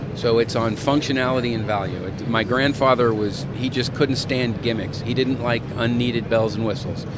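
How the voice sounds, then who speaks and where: Through noticeable background noise, a man speaks in a monotone, flat intonation. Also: medium pitch for a man, moderate pace, hardly any pauses. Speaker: knife company owner. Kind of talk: casual interview.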